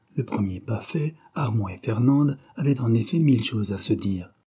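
What we hear is an unforced reading voice.

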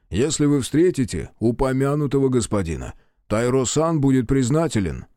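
Plain reading aloud moves with ordinary pitch variation.

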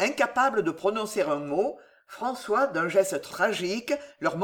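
Someone is reading aloud in a natural voice.

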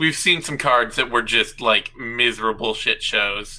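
An ordinary speaking voice from a man, medium in pitch, at a moderate speed. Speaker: MMA analyst co-host. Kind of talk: casual banter.

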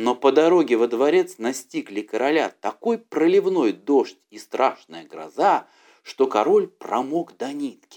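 A man's slightly mellow voice with lively intonation at a fairly slow pace. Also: medium pitch for a man.

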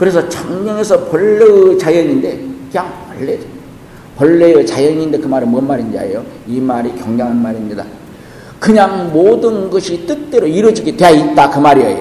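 Through audible room echo and noticeable background noise, a man with a high voice speaks at a moderate pace with very wide pitch swings. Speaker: Buddhist monk teacher. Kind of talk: dharma lecture. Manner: halting, many fillers.

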